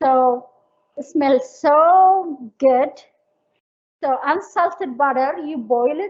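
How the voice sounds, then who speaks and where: A woman with an Eritrean accent, high in pitch, with ordinary pitch variation. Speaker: cooking instructor. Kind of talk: cooking class. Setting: livestream cooking class.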